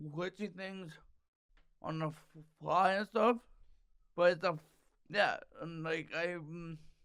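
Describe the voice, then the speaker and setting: Speaking at a fairly slow pace with long, frequent pauses, a man uses a high pitch for a man. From Canada, Toronto area. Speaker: stand-up comedian. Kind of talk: casual chat. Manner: halting, repeats sounds.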